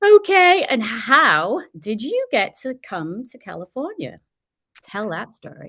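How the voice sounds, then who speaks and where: A woman speaks very slowly in an English accent, her pitch high for a woman and swinging very widely. Her tone is bright and sharp, with big swings in loudness. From England. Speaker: podcast host. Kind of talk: interview.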